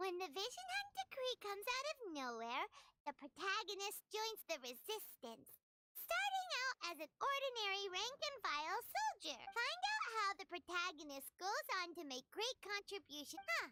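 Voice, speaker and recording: Squeaky and extremely high in pitch, a put-on character voice moves at a moderate pace. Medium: video game. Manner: excitable, chirpy.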